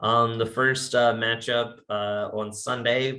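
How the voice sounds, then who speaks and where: A man with an American accent speaks very slowly at a medium pitch. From Virginia. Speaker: sports podcast host. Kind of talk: casual chat.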